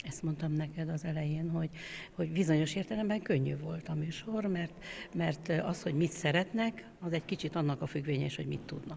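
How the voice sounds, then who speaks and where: A woman's very deep, low voice at a fairly quick pace, ordinary pitch variation, and light background noise. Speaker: choir conductor. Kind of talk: interview. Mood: warm, reflective. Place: church. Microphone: handheld.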